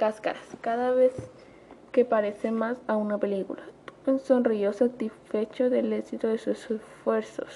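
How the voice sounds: Fairly even intonation in a natural reading voice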